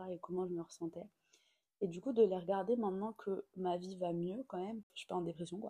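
A woman speaks fairly quickly at a medium pitch with a dark, mellow tone. The sound is dry and close, with no echo. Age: 20s. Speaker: podcast host. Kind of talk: casual chat. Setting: at home. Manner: animated.

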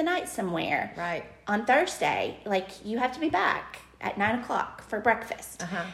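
With an Alabama accent, a woman talks in very wide pitch swings over noticeable background noise. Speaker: parenting podcast co-host, mother of teenagers. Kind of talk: casual chat. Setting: studio around a table.

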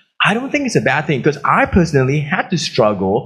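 A man speaks in a somewhat breathy voice. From Australia. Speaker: pastor. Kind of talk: sermon.

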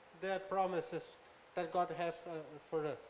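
Audible room echo surrounds a man whose voice has a high pitch. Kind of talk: live interpretation of a sermon. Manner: halting.

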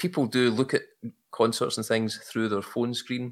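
With a Glaswegian accent, the speaker moves at a fairly quick pace. Pitch varies in an ordinary way. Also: man. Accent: Glaswegian Scottish. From Glasgow, Scotland. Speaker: hobbyist photographer. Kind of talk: casual interview chat.

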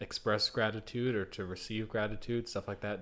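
On a very clean recording with a silent background, a man talks at a moderate pace with a fairly low pitch. He has an unremarkable speaking voice. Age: young. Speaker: podcast co-host. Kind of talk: casual chat.

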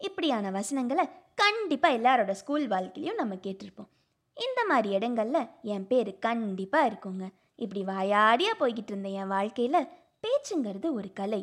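A woman's normal speaking voice, fairly high in pitch, with lively intonation and big swings in loudness. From Tamil Nadu, Pollachi (Kongu region). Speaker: engineering student, new podcaster. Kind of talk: personal introduction monologue.

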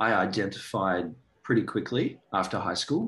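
A man with an Australian accent, fairly low pitch and ordinary pitch variation, against a quiet background. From Australia (Sydney). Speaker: actor and director. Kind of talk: casual interview.

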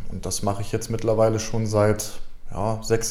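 A man's dark, mellow voice with lively intonation and audible room echo. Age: 20s. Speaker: YouTuber and streamer. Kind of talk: casual interview.

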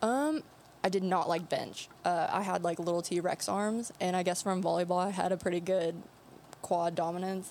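A woman has an ordinary speaking voice at a medium pitch, with ordinary pitch variation, very even loudness and a moderate pace. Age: 20s. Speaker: nurse and powerlifter. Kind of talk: casual chat. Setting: studio.

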